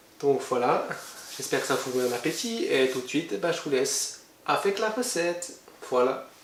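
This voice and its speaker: A man's fairly high voice with very wide pitch swings, amid audible room echo and noticeable background noise. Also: moderate pace. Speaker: cooking youtuber. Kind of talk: video intro. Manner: hesitant, many fillers.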